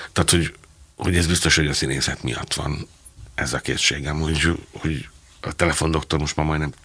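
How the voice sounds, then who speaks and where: Over noticeable background noise, a man with a very deep, low pitch talks in a flat monotone, leaving long, frequent pauses. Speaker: theatre director and playwright. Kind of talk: interview conversation.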